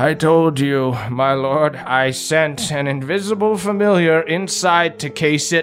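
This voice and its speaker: A man performs a put-on character voice at a fairly high pitch and a fairly slow pace, with hardly any pauses. Music is clearly heard behind him. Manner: weary, pleading.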